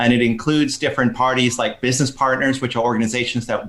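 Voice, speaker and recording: Speaking at a fairly quick pace, a man uses an ordinary speaking voice at medium pitch with fairly even intonation. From Texas. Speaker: social enterprise educator. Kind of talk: podcast interview.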